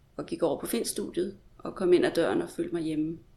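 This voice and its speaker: An unremarkable speaking voice from a woman, fairly low in pitch, at a moderate pace. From Denmark. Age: 40s. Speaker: literary translator. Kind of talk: interview.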